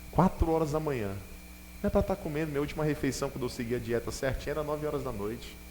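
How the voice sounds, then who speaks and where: A man talks at a very fast pace with ordinary pitch variation, and the room echo is audible. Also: fairly high pitch for a man. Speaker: bishop preaching. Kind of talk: sermon. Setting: church with congregation.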